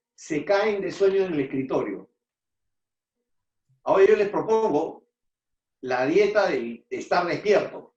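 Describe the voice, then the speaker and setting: A man speaks very slowly in a high pitch, with very wide pitch swings and long, frequent pauses. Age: 60s. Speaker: immunologist, lecturer. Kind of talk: lecture.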